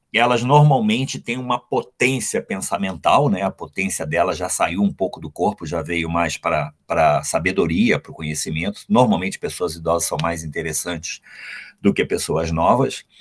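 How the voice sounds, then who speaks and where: The sound is dry and close with no echo. A man speaks at a fairly slow pace with very wide pitch swings. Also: fairly low pitch for a man. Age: 60s. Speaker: anthroposophic doctor. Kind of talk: interview. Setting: live stream. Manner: halting.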